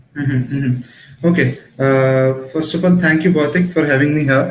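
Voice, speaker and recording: Somewhat breathy, a man speaks at a moderate pace. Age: 20s. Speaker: digital marketing professional and trainer. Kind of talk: live online talk show interview. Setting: Facebook Live video stream.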